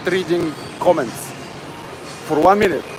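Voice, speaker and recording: Against noticeable background noise, a man with a Bulgarian accent and a high pitch speaks at a moderate pace with fairly even intonation. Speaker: fitness livestreamer. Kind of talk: casual livestream chat. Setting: gym. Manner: halting.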